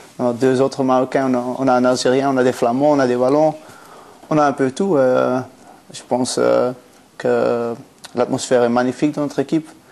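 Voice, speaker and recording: This man's voice is medium in pitch, with monotone, flat intonation. He keeps a moderate pace over noticeable background noise. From Belgium, Antwerp. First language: Flemish (Dutch) (speaking French). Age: 20s. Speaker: professional footballer. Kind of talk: interview. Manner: halting.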